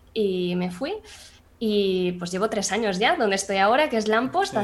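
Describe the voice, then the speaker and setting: Amid noticeable background noise, a woman talks at a moderate pace in a medium pitch with ordinary pitch variation. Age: 20s. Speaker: 3D artist and CGI supervisor. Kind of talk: casual interview chat.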